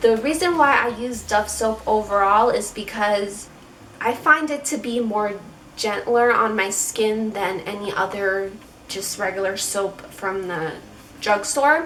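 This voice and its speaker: A woman's fairly high voice with an American accent, at a fairly slow pace over noticeable background noise. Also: ordinary pitch variation. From Chicago. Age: 20s. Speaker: beauty vlogger. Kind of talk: casual talk to camera. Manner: casual, chatty.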